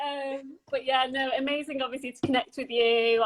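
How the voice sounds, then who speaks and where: A woman with a London accent speaks at a moderate pace in a bright, sharp tone, with a high pitch and ordinary pitch variation. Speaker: podcast host. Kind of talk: casual interview chat.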